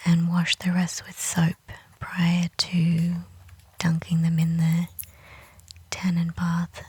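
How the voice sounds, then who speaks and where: A soft-spoken voice at a very slow pace. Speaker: natural dyer. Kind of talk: casual crafting narration.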